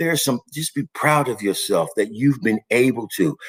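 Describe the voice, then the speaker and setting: An animated man's voice with vocal fry, dry and close with no echo. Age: 60s. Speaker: recovery and wellness show host. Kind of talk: motivational live stream talk. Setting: live online video stream.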